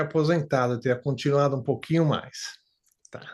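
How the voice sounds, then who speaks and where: Talking very fast, a man keeps his fairly high voice in fairly even intonation. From Brazil, São Paulo. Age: 60s. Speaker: retired factory worker, client testimonial. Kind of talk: interview testimony. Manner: halting, many fillers.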